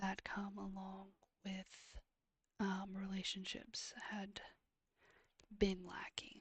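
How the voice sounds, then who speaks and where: A soft-spoken whisper delivered at a very slow pace. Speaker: ASMR streamer. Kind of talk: ASMR reading of questions. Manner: whispered, soft-spoken.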